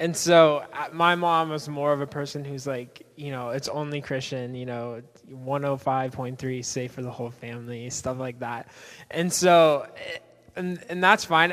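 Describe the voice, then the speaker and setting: A man speaks in a normal speaking voice at a moderate pace. His pitch is fairly high and his intonation fairly even, on a very clean recording with a silent background. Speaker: church panelist. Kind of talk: panel discussion answering questions.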